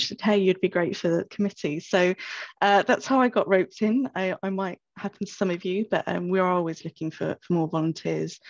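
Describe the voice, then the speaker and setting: Against a quiet background, a woman with a British accent talks at a fairly quick pace with hardly any pauses and fairly even intonation, in a dry sound with no echo. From UK. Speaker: information officer at a law firm. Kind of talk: webinar presentation. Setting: video call.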